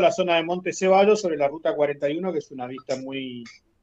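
A man with an unremarkable speaking voice talks at a moderate pace against a quiet background. His pitch is fairly high, with ordinary pitch variation. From Argentina, Patagonia (Caleta Olivia). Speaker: retired oil worker, cabin owner. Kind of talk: interview.

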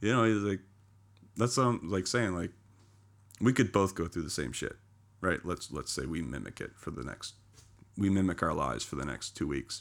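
A man talks with a very deep, low pitch and vocal fry, leaving long, frequent pauses. The recording is very clean, the background silent. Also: lively intonation, moderate pace. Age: 30s. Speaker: podcast guest. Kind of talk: casual chat.

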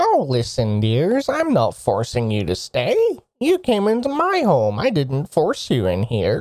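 The speaker puts on a character voice. The delivery is fairly slow. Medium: actual play. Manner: sweet, grandmotherly, calls everyone dear.

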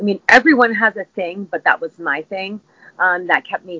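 Lively intonation marks this woman's plain, everyday voice. She speaks at a moderate pace in a medium pitch. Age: 50s. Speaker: fitness instructor. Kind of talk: casual interview chat.

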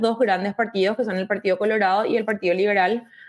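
A woman talks at a very fast pace in a fairly high pitch. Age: 30s. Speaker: mayoral candidate. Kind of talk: interview.

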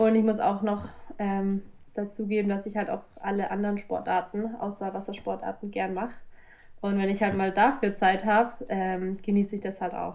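At a moderate pace, a woman with a medium pitch talks in a monotone, flat intonation. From Bavaria, south of Munich. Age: 20s. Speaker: professional kitesurfer. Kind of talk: casual interview. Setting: video call.

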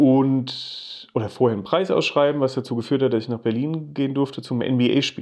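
A man speaks at a moderate pace in a normal speaking voice, with medium pitch, fairly even intonation and hardly any pauses. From Germany, Rhine-Main area (Geisenheim near Wiesbaden). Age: 40s. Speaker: creative director. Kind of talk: casual interview chat.

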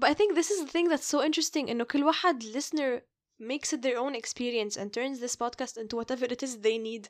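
A woman's high-pitched voice with an Arabic accent, at a very fast pace with ordinary pitch variation, in a very clean recording with a silent background. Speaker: podcast host. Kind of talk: casual chat, code-switching Arabic and English.

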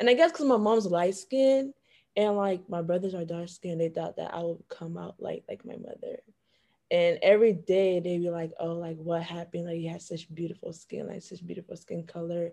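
Dark, mellow tone in an American accent, with ordinary pitch variation, big swings in loudness, and a moderate pace. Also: woman, fairly low pitch for a woman. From Florida, Broward County (Haitian family). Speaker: university student, panelist. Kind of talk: casual chat. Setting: video call.

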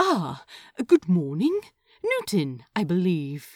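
A breathy, put-on character voice from a woman, medium in pitch, at a very slow pace. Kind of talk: romance audiobook reading. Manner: soothing, amused, warm.

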